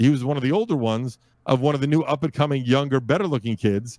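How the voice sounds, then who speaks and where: In an American accent, an unremarkable speaking voice goes at a fairly quick pace on a very clean recording with a silent background. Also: man. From US Northeast, Brooklyn, New York. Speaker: podcast host and network founder. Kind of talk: casual interview.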